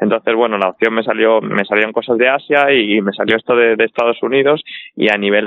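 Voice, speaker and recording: A plain, everyday voice from a man, medium in pitch, fairly quick in pace and fairly even in intonation. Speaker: professional footballer. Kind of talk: casual chat.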